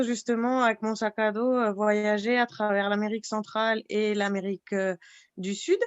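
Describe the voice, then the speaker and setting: Fairly even intonation at a fairly slow pace. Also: woman. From France, Alsace (Fessenheim). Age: 30s. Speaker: pharmacy technician, traveller. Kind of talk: podcast interview. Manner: hesitant, many fillers.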